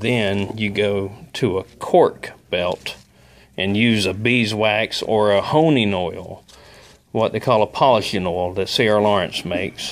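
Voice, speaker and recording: A man with a South Alabama accent, fairly low in pitch, at a very slow pace. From Southern US. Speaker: glass worker. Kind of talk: casual instructional talk to camera. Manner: speech impediment.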